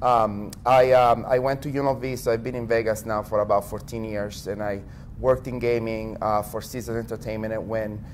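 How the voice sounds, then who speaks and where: With an Italian accent, a man talks at a fairly quick pace in a monotone, flat intonation. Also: medium pitch for a man. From Italy. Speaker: tech company executive. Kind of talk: interview.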